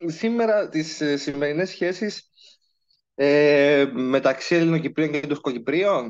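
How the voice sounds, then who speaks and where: A man with lively intonation speaks at a fairly slow pace over a quiet background. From Cyprus. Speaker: legal researcher. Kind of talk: lecture.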